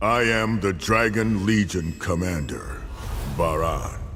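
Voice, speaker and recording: A man does a put-on character voice, fairly low in pitch, with a calm tone and a fairly slow pace. Clear background noise can be heard. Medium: video game. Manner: calm, authoritative.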